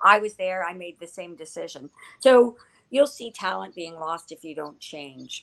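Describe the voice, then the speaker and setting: A woman with a Canadian accent uses an ordinary speaking voice at medium pitch and a moderate pace. Her intonation is lively, and her loudness swings widely. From Ottawa, Canada. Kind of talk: casual interview chat.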